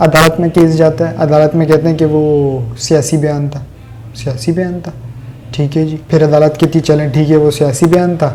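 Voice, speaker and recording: Here a man speaks with a fairly high pitch. His intonation is monotone and flat. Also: moderate pace. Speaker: political commentator. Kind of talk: political commentary monologue.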